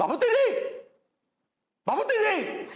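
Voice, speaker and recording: A man shouts in a put-on character voice at an extremely high pitch, with a slight echo. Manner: shouting, angry.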